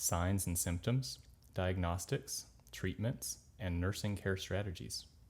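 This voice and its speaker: On a very clean recording with a silent background, a man speaks at a very deep, low pitch. His somewhat breathy voice moves at a fairly slow pace with lively intonation. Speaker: nursing instructor and podcast host. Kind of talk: sleep-aid educational podcast narration.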